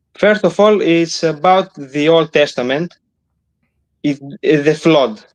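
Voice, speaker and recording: Very slowly and with long, frequent pauses, a man of fairly high pitch speaks at a very even loudness and with ordinary pitch variation. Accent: non-native. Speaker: caller. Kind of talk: call-in discussion. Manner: halting.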